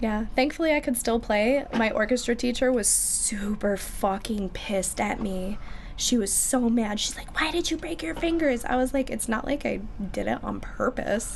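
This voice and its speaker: A woman's high pitch and lively intonation at a moderate pace, in a Midwestern American accent. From Michigan, US. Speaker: musician. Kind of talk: casual chat.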